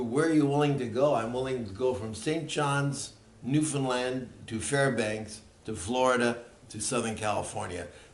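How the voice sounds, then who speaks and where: With ordinary pitch variation and a medium pitch, a man's voice comes through audible room echo and noticeable background noise. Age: 80s+. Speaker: seniors ministry pastor. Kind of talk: presentation to church leaders. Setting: meeting with church leaders.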